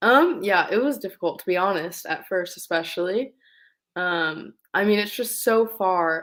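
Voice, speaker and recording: A woman speaks in a normal speaking voice, fairly low in pitch and at a fairly slow pace, on a very clean recording with a silent background. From Southern California. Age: 20s. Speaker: racing driver. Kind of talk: casual interview.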